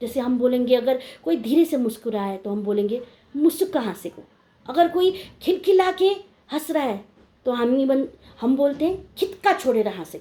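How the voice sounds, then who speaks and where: A woman with a Nepali accent and very wide pitch swings. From India, Darjeeling hills (Indian Gorkha). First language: Nepali (speaking Hindi). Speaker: video blogger. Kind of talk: informal talk to camera.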